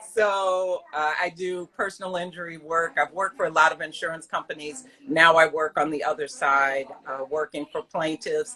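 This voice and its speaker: A woman speaks at a moderate pace in a fairly low voice. Her pitch varies in an ordinary way. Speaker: yarn shop owner and lawyer. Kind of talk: casual interview. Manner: loud; animated.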